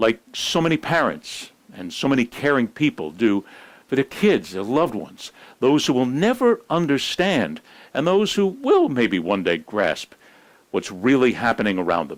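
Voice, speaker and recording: Over a silent background on a very clean recording, a man with a medium pitch and vocal fry speaks in a serious tone at a moderate pace, with very wide pitch swings. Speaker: news and sports commentator. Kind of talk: news commentary monologue. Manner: serious, reflective.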